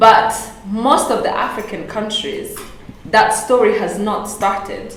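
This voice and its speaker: In a room with audible echo and noticeable background noise, a woman speaks at a fairly high pitch with fairly even intonation. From Rwanda. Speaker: panelist. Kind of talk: panel discussion. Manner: halting.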